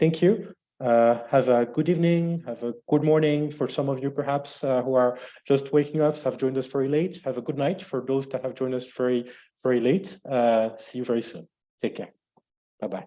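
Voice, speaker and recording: Moving at a fairly quick pace, a man speaks at a medium pitch with ordinary pitch variation. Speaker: webinar moderator. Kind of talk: closing remarks of online webinar. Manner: fast.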